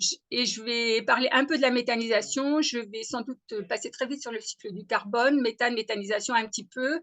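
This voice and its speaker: Bright and sharp in tone, a woman speaks at a high pitch with ordinary pitch variation. Her pace is moderate against a quiet background. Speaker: agronomist, webinar speaker. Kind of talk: webinar presentation. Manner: hesitant, many fillers.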